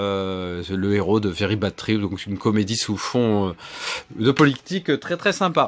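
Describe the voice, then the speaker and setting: Fairly slow speech from a man, fairly low in pitch, ordinary in pitch variation. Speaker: film collector youtuber. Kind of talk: casual haul video presentation. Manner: hesitant, many filler sounds.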